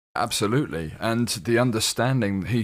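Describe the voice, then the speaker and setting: A man with a slight British accent at a moderate pace, on a very clean recording with a silent background. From UK. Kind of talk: radio interview. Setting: studio.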